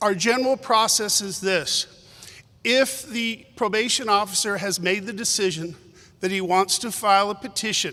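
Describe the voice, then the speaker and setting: In a raised, projected voice, a man with a high pitch speaks at a moderate pace with ordinary pitch variation. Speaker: prosecutor. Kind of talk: panel presentation. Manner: loud.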